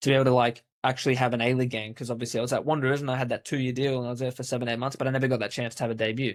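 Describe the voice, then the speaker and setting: A man with an Australian accent speaks at a medium pitch in a monotone, flat intonation. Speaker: football coach and former pro player. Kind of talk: interview storytelling. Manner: casual, with many fillers.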